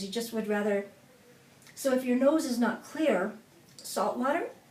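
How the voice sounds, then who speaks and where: Over noticeable background noise and audible room echo, a woman speaks at a fairly high pitch with lively intonation. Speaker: singing coach. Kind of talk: tutorial.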